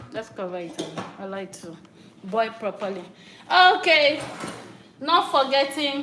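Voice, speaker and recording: Over noticeable background noise and audible room echo, a woman with a high pitch uses a raised, projected voice, very wide pitch swings, a fairly slow pace and long, frequent pauses. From Nigeria, Akwa Ibom. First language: local Nigerian language. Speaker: cooking vlogger. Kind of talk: cooking tutorial. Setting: home kitchen. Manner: halting.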